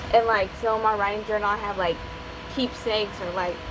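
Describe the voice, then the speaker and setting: A woman speaks with a strong Appalachian accent at a fairly quick pace. Noticeable background noise runs underneath. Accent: strong Appalachian hillbilly. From West Virginia, Appalachia. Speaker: aspiring novelist, video creator. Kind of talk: casual vlog talk. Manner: fast, sometimes slurred; rambling, hesitant with fillers.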